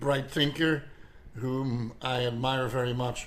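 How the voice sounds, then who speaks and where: A man talks very slowly, with fairly even intonation. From Belgium (Flemish). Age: 70s. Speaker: artist and naturalist. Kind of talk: personal video monologue. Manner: halting, many fillers and repetitions.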